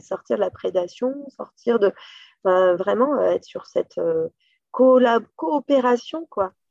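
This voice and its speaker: A woman speaks very slowly with lively intonation. The sound is dry and close, with no echo. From western France, Loire region. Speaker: company director. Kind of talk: interview. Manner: hesitant, many fillers.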